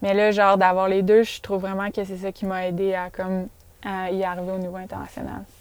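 In a Quebec accent, a woman with a medium pitch speaks fairly quickly in a monotone, flat intonation. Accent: Québécois French. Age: 20s. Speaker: professional mountain bike athlete. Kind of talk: casual interview chat. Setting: in a parked van.

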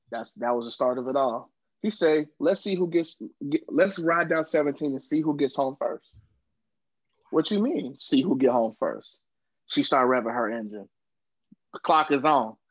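A man speaks at a moderate pace with an American accent, leaving long, frequent pauses. His voice is fairly high-pitched, with an animated tone and lively intonation. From US South, Georgia (Savannah area). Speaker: podcast co-host. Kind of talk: storytelling.

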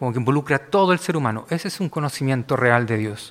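A man with a Chilean accent talks at a medium pitch. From Chile, Valparaíso. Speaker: pastor. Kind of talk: sermon.

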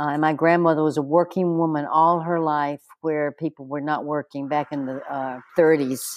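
A woman's very deep, low voice, flat and monotone, at a moderate pace with hardly any pauses, in a dry, close sound with no echo. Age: 70s. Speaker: aerial dance teacher and performer. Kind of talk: interview, casual conversation.

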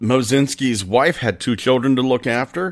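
On a very clean recording with a silent background, a man with a plain, everyday voice speaks at a moderate pace and medium pitch. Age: 40s. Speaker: paranormal podcast host. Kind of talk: storytelling. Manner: casual.

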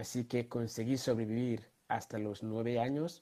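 A man's dark, mellow voice at a fairly slow pace. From Ghana. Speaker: social entrepreneur. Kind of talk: interview.

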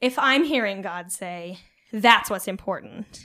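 At a moderate pace, a woman talks with a West Coast US accent in a very clean recording with a silent background. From Oregon, US Pacific Northwest (rural, near Eugene). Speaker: nonprofit communications coordinator. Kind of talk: casual interview on faith.

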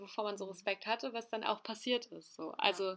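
A woman's bright, sharp tone in a very clean recording with a silent background. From northern Germany, Hamburg. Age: 20s. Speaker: youth welfare social worker. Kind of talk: casual chat.

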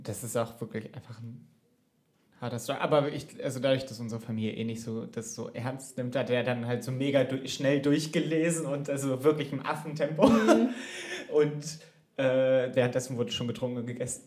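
At medium pitch and a moderate pace, a man speaks with ordinary pitch variation and big swings in loudness. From Germany. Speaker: podcast co-host. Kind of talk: casual chat. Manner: animated.

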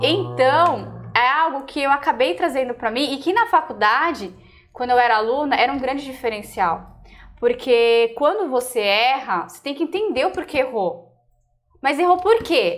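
Lively intonation, big swings in loudness, and a moderate pace. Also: woman, high pitch for a woman. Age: 30s. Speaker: pastry chef and co-host. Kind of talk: casual chat.

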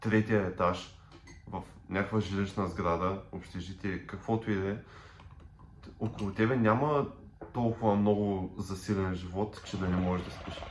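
With a plain, everyday voice, a man talks at a fairly slow pace, in a fairly low pitch and with fairly even intonation. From Bulgaria, Popovo (Targovishte). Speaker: podcast co-host. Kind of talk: casual chat.

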